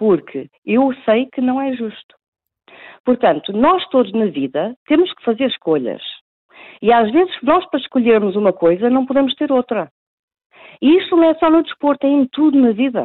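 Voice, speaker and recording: A woman with a high pitch moves at a moderate pace through very wide pitch swings, leaving long, frequent pauses. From Portugal. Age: 40s. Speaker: professional pool player. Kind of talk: phone interview. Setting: phone call. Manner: halting.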